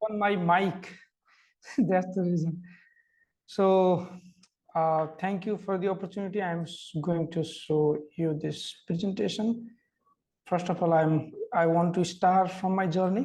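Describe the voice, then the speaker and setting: This man has a high pitch and speaks at a fairly slow pace. His intonation is fairly even, and he takes long, frequent pauses. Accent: Nepali. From Nepal, small village. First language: Nepali. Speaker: migrant worker, fellow. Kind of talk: presentation. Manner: halting.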